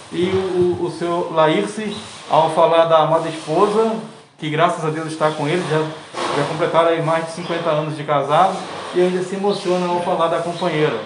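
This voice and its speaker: A high-pitched man with fairly even intonation amid noticeable background noise. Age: 40s. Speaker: podcast host interviewer. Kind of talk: interview. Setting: on location at a lumber yard. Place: street. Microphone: phone near.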